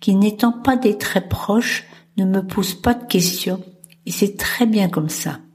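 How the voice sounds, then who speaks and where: A woman at medium pitch and a fairly slow pace, with fairly even intonation and noticeable background noise. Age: 70s. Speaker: podcast host. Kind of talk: solo podcast monologue.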